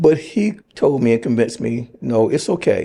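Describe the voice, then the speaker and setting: The man's voice, medium in pitch with a dark, mellow tone, moves at a moderate speed. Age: 70s. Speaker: nurse. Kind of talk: interview testimony.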